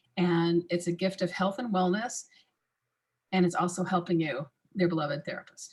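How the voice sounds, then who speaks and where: A woman speaks at a medium pitch. Her voice is somewhat breathy, and her pace is fairly quick. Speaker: massage industry expert. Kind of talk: webinar talk.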